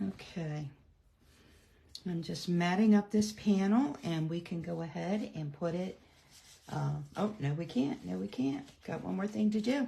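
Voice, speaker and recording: Fairly low in pitch, a woman speaks in a dark, mellow, somewhat breathy voice with lively intonation. She goes at a fairly slow pace with long, frequent pauses. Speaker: card-making demonstrator. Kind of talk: live craft tutorial. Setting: livestream. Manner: chatty, many fillers.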